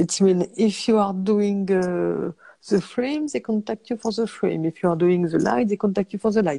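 A woman speaks with a French accent at medium pitch, her tone dark and mellow. Her intonation is lively, and the sound is dry and close with no echo. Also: moderate pace. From France, countryside. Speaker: cinematographer. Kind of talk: interview. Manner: halting.

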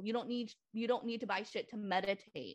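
Speaking at a fairly quick pace with an American accent, a woman has an unremarkable speaking voice, a fairly high pitch, and ordinary pitch variation. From Lynn, Massachusetts, US; Cambodian community. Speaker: therapist. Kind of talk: casual podcast interview.

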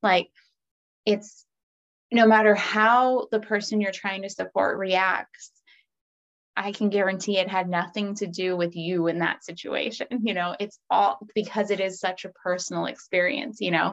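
Speaking at medium pitch and a moderate pace, a woman uses an ordinary speaking voice with fairly even intonation. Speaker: podcast host. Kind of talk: casual interview chat.

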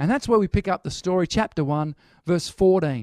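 A high-pitched man in an Australian accent talks with ordinary pitch variation, in a dry, close sound with no echo, on a very clean recording with a silent background. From Australia, Newcastle NSW. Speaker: pastor. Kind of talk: sermon.

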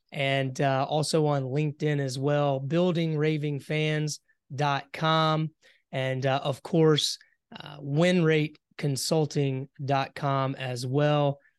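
A man with a Southern US accent speaks at a fairly high pitch. The sound is dry and close with no echo, over a quiet background. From US South, South Carolina. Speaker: entrepreneur. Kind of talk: interview.

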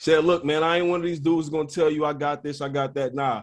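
Here a man is speaking. He talks at a fairly quick pace. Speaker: podcast host. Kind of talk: casual chat. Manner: animated.

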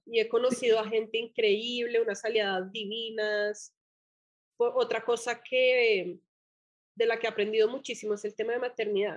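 Against a quiet background, a woman speaks at a moderate pace in a fairly high voice with monotone, flat intonation. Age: 30s. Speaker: entrepreneur, brand founder. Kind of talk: interview conversation.

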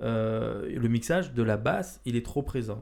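This man's voice sits at a medium pitch, with ordinary pitch variation and a dark, mellow tone. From Marseille, southern France. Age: 30s. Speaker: podcast host. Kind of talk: casual chat. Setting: indoor room with couch.

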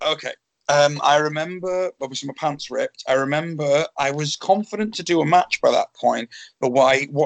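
A man with an English accent, fairly high in pitch, at a moderate pace with ordinary pitch variation and a dry, close sound with no echo. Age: 30s. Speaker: professional wrestler. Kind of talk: casual interview.

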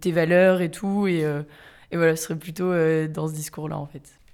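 This woman's voice is fairly low in pitch, with monotone, flat intonation. She talks at a fairly slow pace. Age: 20s. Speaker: student activist. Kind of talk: casual conversation. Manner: hesitant, many fillers.

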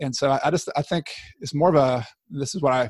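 A man rattles off his words very fast, captured close up with a dry sound and no echo. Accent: Southern US. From Georgia, US South (near Atlanta). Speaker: trail advocacy board member and small business owner. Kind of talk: interview.

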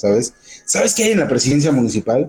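This man has a fairly high pitch, a dark, mellow tone and a somewhat breathy voice. He talks at a very fast pace with very wide pitch swings. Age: old. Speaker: radio news host. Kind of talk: casual news chat.

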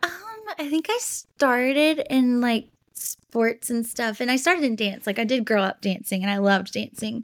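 The speaker is soft-spoken, with ordinary pitch variation and a moderate pace. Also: woman, high pitch for a woman. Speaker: guest. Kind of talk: casual chat.

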